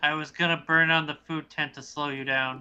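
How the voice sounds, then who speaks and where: A put-on character voice sits at a low-to-middle pitch. Its intonation stays flat and monotone at a moderate pace. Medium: actual play. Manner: indignant.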